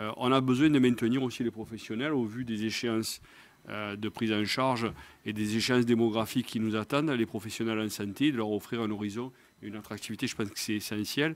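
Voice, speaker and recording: In a very clean recording with a silent background, a man with a Marseille accent speaks at a medium pitch and a fairly quick pace, his intonation fairly even. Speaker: nursing professional body president. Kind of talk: round-table discussion. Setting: live video stream.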